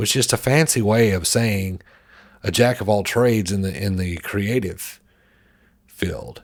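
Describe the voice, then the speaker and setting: A man with an American accent, fairly low in pitch, at a fairly slow pace with long, frequent pauses and ordinary pitch variation. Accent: Southern US, can switch it on and off. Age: 40s. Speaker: creative marketer and podcaster. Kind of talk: motivational talk.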